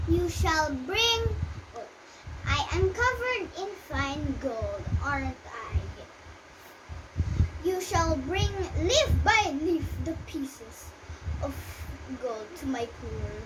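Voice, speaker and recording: Clear noise sits in the background while someone in a put-on character voice talks very slowly. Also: woman. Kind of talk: storybook royal speech. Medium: read story. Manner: kind, dignified.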